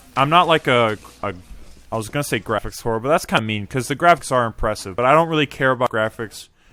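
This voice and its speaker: Music plays in the background as the speaker goes at a very fast pace with lively intonation. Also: man. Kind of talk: casual podcast conversation. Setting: voice chat call.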